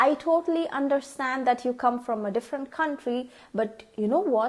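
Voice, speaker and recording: A woman with a Tamil accent speaks at a fairly slow pace in a high pitch. Her tone is dark and mellow, and her pitch swings very widely. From India (Tamil). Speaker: vlogger. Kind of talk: tutorial. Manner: casual, with frequent fillers.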